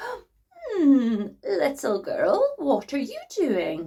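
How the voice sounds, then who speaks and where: Someone uses a put-on character voice, high in pitch and very slow. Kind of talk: sweet, coaxing. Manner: fake friendly.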